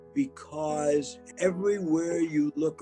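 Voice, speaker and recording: Music plays in the background. Over it, a man talks with a fairly high pitch. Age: 80s+. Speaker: civil rights leader. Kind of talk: interview answer.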